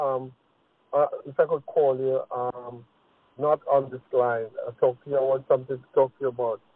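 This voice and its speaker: With a strong Trinidadian accent, a man speaks at a fairly quick pace in a fairly high pitch, his pitch variation ordinary. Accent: heavy Trinidadian. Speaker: caller. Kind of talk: casual question. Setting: phone call. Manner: halting.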